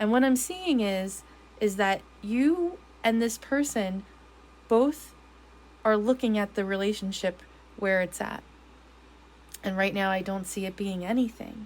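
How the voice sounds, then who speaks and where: A woman at a medium pitch and a fairly slow pace, with ordinary pitch variation and long, frequent pauses. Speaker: tarot reader. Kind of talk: tarot reading. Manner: halting; casual.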